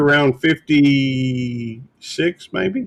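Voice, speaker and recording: A man speaks in a fairly high pitch. The sound is dry and close, with no echo. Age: 60s. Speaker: livestream host. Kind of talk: casual chat.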